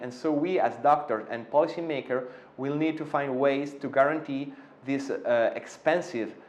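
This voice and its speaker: Speaking with an Italian accent, a man uses a fairly high pitch, ordinary pitch variation and a fairly slow pace. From Italy. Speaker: interventional cardiologist. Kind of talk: interview. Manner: hesitant, many fillers.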